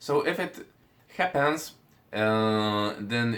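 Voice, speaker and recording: This is a man talking. His intonation is lively. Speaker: vocal coach. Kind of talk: tutorial. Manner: hesitant, with many fillers.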